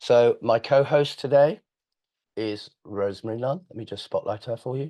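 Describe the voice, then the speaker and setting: A man at a medium pitch and a moderate pace, with ordinary pitch variation. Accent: English. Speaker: webinar host, firm founder and chief executive. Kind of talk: webinar introduction. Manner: hesitant, many fillers.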